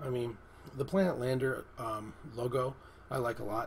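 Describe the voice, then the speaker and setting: At a moderate pace, a man speaks at a medium pitch with fairly even intonation. Background noise is noticeable. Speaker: app reviewer. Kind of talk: tutorial. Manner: hesitant, many fillers.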